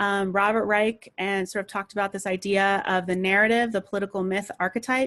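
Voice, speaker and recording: Over a silent background in a very clean recording, a woman talks at medium pitch with monotone, flat intonation. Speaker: political trainer. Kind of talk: training presentation. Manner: fast.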